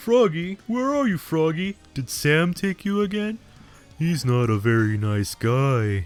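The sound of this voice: A man performs a put-on character voice at a fairly high pitch. He goes at a fairly slow pace with very wide pitch swings.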